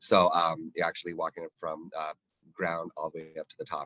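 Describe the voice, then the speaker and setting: Very fast speech in a dry, close sound with no echo. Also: man. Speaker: defense department technology official. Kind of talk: panel discussion. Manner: animated.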